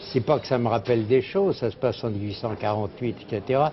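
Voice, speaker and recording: A man's voice shows ordinary pitch variation while noticeable background noise carries on around it. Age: 80s+. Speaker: publisher and literary journalist. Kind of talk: interview answer.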